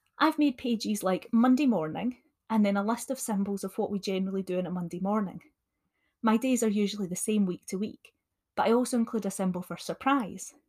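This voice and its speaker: A woman with a Scottish accent speaks at a fairly quick pace in a fairly high pitch, somewhat breathy, with ordinary pitch variation. The recording is very clean with a silent background, and the sound is dry and close with no echo. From Scotland. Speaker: additional support needs teacher. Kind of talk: solo podcast talk, teaching tips.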